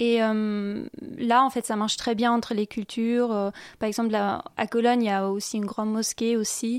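A woman speaks with a German accent at a moderate pace, her pitch fairly high and her intonation monotone and flat. The recording is very clean, with a silent background. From western Germany, Viersen (Rhineland). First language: German (speaking French). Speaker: exchange student. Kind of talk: radio interview. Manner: hesitant, many fillers.

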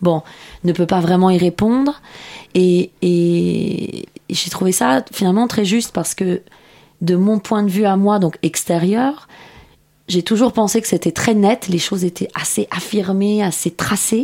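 With a Persian accent, a woman speaks at a fairly slow pace in a dark, mellow tone, with very even loudness and ordinary pitch variation. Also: medium pitch for a woman. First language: Persian (speaking French). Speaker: novelist. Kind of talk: radio interview. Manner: halting, filler words.

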